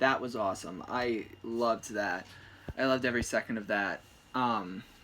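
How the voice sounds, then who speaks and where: Here a man talks at a moderate pace and medium pitch. His intonation is fairly even. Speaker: boyfriend of the channel owner. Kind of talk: casual chat. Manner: soft-spoken.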